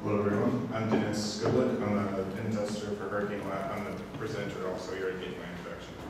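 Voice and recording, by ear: A man talks at a fast pace with little pitch movement, over clear background noise and audible room echo. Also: fairly low pitch for a man.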